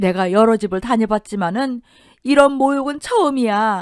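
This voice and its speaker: Putting on a character voice, a woman speaks at a moderate pace with fairly high pitch, ordinary pitch variation, a shaky, tearful tone and a dry, close sound with no echo. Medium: audio drama.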